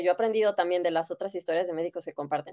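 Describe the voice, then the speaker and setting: In a very clean recording with a silent background and a dry, close sound with no echo, a woman with a Mexican accent speaks with ordinary pitch variation. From Mexico, Guadalajara. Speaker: doctor. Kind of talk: interview. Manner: hesitant, many fillers.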